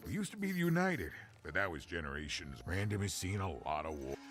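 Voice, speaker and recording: A put-on character voice from a man, very deep and low in pitch, at a very fast pace amid clear background noise. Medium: video game. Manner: rambling, warm.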